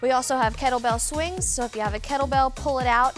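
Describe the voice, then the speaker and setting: Over clear background music, the speaker talks at a moderate pace with fairly even intonation. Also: woman. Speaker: fitness instructor. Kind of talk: workout instruction. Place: studio. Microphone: lapel.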